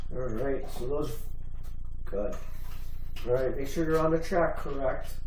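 Light background noise sits under audible room echo in this recording. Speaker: race announcer parent. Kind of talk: casual race commentary. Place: garage. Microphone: camera far.

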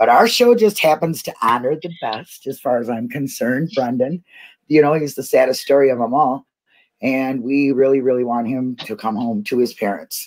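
In a quiet background, a woman speaks with a very deep, low pitch. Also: ordinary pitch variation, moderate pace. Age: 50s. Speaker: online show host. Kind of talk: casual chat. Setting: video call. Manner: animated. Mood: playful, warm. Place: home room.

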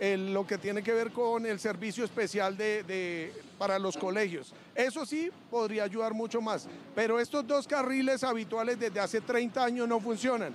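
A man speaks at a high pitch with ordinary pitch variation. His pace is moderate, with few pauses.

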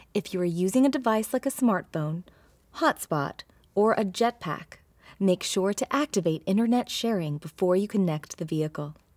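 Recorded dry with no echo and a quiet background, a woman talks at a moderate pace. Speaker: presenter. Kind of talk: tutorial. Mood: friendly, smiling. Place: car.

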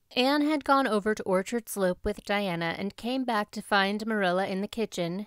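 Someone reading aloud in a natural voice

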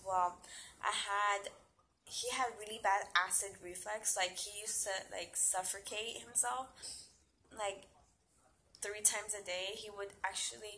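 Woman's bright, sharp voice at a fairly slow pace, fairly even intonation, long, frequent pauses and light background noise. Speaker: young mother vlogger. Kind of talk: casual vlog chat. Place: home room. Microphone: phone near.

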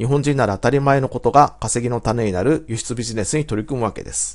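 Fairly quick delivery in an ordinary speaking voice, pitch varying in an ordinary way. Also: man. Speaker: business coach. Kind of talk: scripted narration.

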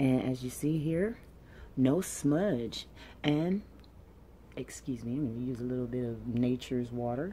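Soft-spoken and fairly slow, a woman with a very deep, low pitch and a dark, mellow tone uses ordinary pitch variation and long, frequent pauses over light background noise. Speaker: ASMR beauty creator. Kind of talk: ASMR makeup unboxing and review, talking to camera.

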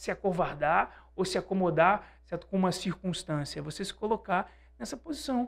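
A man speaks at a moderate pace with a high pitch. The background is quiet. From Brazil. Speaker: sales trainer and author; sales trainer. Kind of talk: interview. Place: studio. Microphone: studio mic.

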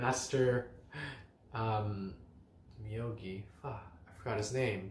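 The man's pitch varies in an ordinary way while he talks at a fairly slow pace.

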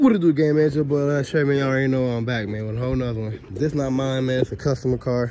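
Over noticeable background noise, a man speaks with fairly even intonation in a dry sound that has no echo. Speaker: car mechanic vlogger. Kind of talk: casual vlog chat. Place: street. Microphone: phone near.

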